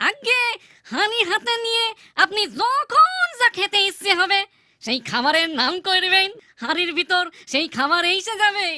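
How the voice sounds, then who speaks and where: A cartoonish character voice comes through at an extremely high pitch. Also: moderate pace. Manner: nervous, wheedling.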